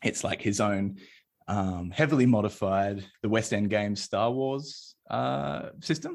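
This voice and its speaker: With an Australian accent, a man speaks at a fairly slow pace. His fairly low voice swings very widely in pitch. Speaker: indie game designer. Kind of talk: casual chat.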